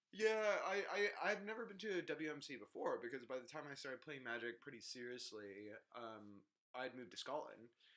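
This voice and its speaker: Bright and sharp in tone, this voice speaks with an American accent at a fairly quick pace, its pitch swinging very widely. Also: man, fairly high pitch for a man. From United States. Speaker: podcast co-host, card game player. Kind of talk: casual chat.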